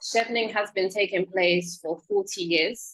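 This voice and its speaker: A woman speaks with a strong British accent at medium pitch. Her pace is moderate and her intonation fairly even. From UK. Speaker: scholarship program officer. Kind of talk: presentation.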